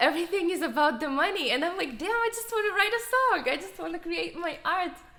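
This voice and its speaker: Raised and projected, a woman's extremely high voice with a non-native accent rushes at a very fast pace in a bright, sharp tone with lively intonation and audible room echo. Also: big swings in loudness. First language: not English. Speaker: musician and video creator. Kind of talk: casual chat.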